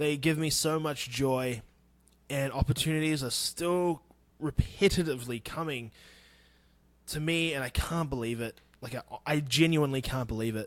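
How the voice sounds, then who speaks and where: A New Zealand accent at a moderate pace with fairly even intonation, in a very clean recording against a silent background. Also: man. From New Zealand, Wanganui. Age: 30s. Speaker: podcast host. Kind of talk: casual solo podcast talk.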